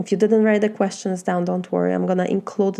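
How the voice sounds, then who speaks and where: A woman speaks with a Polish accent. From Poland. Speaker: life coach. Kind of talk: motivational talk.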